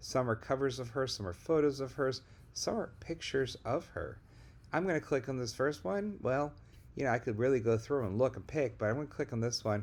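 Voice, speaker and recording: Here is a man with a plain, everyday voice at a medium pitch. He talks at a fairly quick pace with ordinary pitch variation. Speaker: high school teacher. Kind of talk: tutorial.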